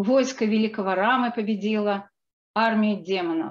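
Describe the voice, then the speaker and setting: In a quiet background, a woman talks at a moderate pace in a plain, everyday voice. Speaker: book co-author and researcher. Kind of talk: lecture. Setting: video call.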